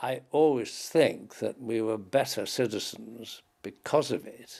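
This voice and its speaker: A man speaks with a Manx accent. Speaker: war veteran. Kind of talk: interview. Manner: halting.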